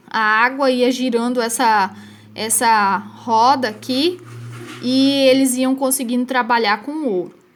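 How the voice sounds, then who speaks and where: A woman talks very slowly at a high pitch with ordinary pitch variation. The recording is very clean, with a silent background. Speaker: history teacher. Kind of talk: recorded lesson.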